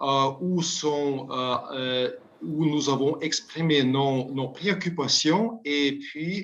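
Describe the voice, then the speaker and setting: A man with a non-native accent speaks at a very slow pace. His pitch is fairly high. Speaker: UN committee expert. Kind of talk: interview. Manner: halting, many repetitions.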